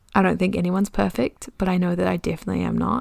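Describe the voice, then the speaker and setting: This is a woman speaking. She has a New Zealand accent. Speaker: podcast host. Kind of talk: casual solo monologue. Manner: talkative, chatty.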